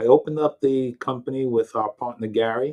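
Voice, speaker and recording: A man's medium-pitched voice with a strong New York accent, moderate pace and fairly even intonation. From New York, Long Island. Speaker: IT company founder. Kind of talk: interview.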